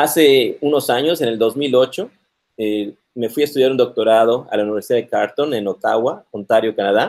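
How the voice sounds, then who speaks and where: This is a man with a normal speaking voice, medium in pitch, with ordinary pitch variation and a moderate pace. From Mexico, Yucatán (Mérida). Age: 40s. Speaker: computer science professor. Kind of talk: interview on live stream.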